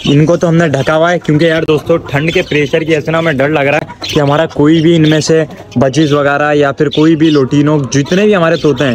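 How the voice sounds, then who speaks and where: Light background noise sits behind a man who talks at a moderate pace with hardly any pauses and monotone, flat intonation. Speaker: pet vlogger. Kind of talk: casual vlog chat. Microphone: phone near.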